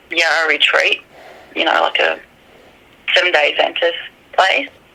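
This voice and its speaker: Noticeable background noise accompanies a woman with an Australian accent. She talks at a moderate pace. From Australia, New South Wales mid north coast. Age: 30s. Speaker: witness. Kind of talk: interview.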